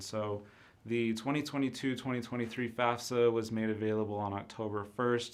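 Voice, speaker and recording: A man's fairly low voice at a moderate pace, with audible room echo. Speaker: university enrollment counselor. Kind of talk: live-streamed informational presentation. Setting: live stream.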